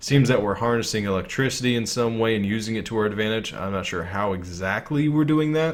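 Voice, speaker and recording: A man at a medium pitch talks at a very fast pace with hardly any pauses and ordinary pitch variation, over audible room echo. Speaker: gaming YouTuber. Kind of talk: live stream trailer breakdown. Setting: live stream. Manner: casual, hesitant with fillers; stuttering.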